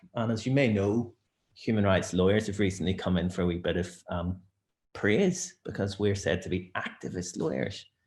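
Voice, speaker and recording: A somewhat breathy man with a Northern Irish accent. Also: ordinary pitch variation, moderate pace. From Northern Ireland. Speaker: barrister. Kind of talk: webinar presentation.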